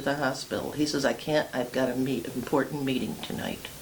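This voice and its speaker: A fairly quick delivery over noticeable background noise. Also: woman. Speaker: oral history interviewee, widow of a former mayor. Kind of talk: oral history interview.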